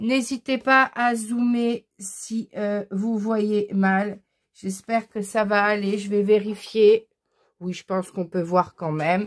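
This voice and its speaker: Speaking at a very slow pace, a woman with a fairly high pitch keeps her intonation fairly even. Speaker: crafts tutorial youtuber. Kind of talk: tutorial.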